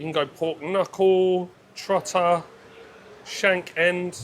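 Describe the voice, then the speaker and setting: The speaker is a man. He has a British accent. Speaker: food vlogger. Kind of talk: travel food vlog commentary. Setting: quiet restaurant. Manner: quiet; animated.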